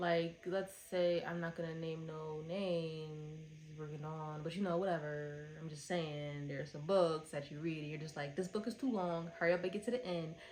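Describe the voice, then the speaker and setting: A fairly low-pitched woman at a moderate pace, with fairly even intonation, hardly any pauses and audible room echo. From Philadelphia, US. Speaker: book reviewer. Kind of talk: casual review monologue.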